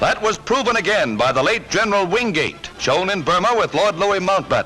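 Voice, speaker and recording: With music playing behind him, a man raises and projects his high voice, using lively intonation at a moderate pace. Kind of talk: wartime newsreel narration. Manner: emphatic, propagandistic.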